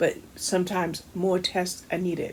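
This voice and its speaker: This is a woman speaking at a medium pitch. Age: 60s. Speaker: book reviewer. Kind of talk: casual video book review. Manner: casual, halting with fillers.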